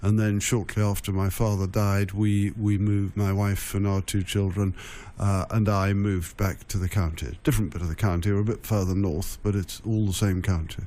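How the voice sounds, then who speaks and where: A man's dark, mellow voice at a moderate pace, monotone and flat, with very even loudness and hardly any pauses. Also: fairly low pitch for a man. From Essex, England. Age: 60s. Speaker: county ceremonial official. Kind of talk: radio interview. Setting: radio studio. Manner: halting, many fillers.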